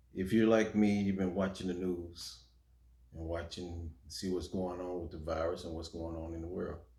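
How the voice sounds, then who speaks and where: Speaking at a moderate pace, a man with a very deep, low pitch and a dark, mellow tone sounds somewhat breathy, with monotone, flat intonation and big swings in loudness. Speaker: preacher, religious video maker. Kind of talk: sermon, urgent message to camera.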